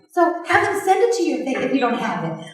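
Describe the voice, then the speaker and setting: An extremely high female voice with lively intonation, audible room echo and noticeable background noise. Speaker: sales team trainer. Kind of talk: training talk to a live group. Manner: fast.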